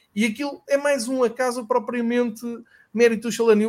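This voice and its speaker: A man is speaking. His pace is moderate. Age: 40s. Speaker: football podcast host. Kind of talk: casual chat.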